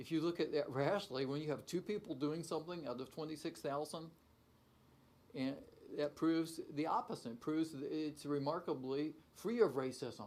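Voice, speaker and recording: A man speaks in an unremarkable speaking voice, fairly high-pitched, at a moderate pace with ordinary pitch variation. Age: 60s. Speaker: university professor. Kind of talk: talk show interview. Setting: studio.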